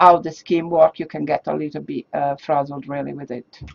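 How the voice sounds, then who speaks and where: With a non-native accent, a woman speaks at a moderate pace. Her intonation stays fairly even. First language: not English. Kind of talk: interview. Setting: studio.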